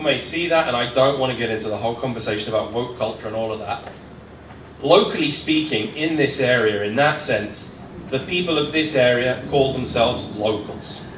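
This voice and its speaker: Noticeable background noise and audible room echo surround a man's voice. He talks at a medium pitch and moderate pace with ordinary pitch variation. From southern England. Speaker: tour operator, community speaker. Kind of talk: presentation talk. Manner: casual, conversational.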